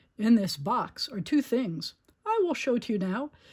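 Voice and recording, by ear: A put-on character voice moves at a fairly slow pace with big pitch swings. Its tone is slightly mellow, with a slightly husky edge. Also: woman, fairly high pitch for a woman.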